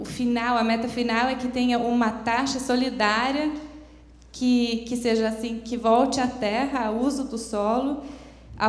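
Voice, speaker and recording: A woman's high-pitched, monotone voice at a fairly slow pace, with flat intonation and audible room echo. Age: 30s. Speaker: foundation representative, seminar speaker. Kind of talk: conference talk. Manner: halting, many hesitations.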